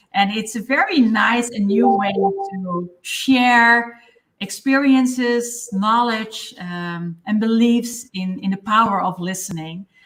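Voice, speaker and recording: Speaking at a very slow pace with hardly any pauses, a woman with a Dutch accent has a fairly high pitch and ordinary pitch variation. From Netherlands. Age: 50s. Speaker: listening expert and mentor. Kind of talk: live interview. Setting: livestream.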